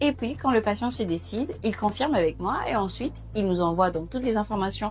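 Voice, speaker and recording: A woman at a fairly quick pace, over light background noise. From Gabon. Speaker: patient consultant. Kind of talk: casual talk to camera. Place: hall. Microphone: lapel.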